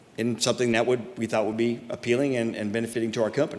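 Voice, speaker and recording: A man at a medium pitch and very fast pace, with noticeable background noise. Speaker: business representative before city council. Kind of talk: public hearing presentation. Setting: city council meeting.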